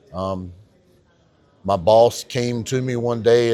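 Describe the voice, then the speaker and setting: This man has a North Carolina accent. His pitch is medium and his intonation fairly even. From North Carolina, Harnett County. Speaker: county tax assessor. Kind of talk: podcast interview. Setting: on camera at a conference.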